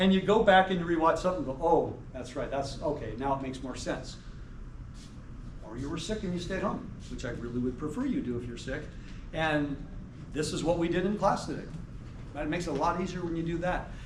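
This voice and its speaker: The speech runs at a very fast pace broken by long, frequent pauses, with noticeable background noise and audible room echo. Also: man, high pitch for a man, ordinary pitch variation. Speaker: math professor. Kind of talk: lecture. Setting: classroom. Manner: clear enunciation.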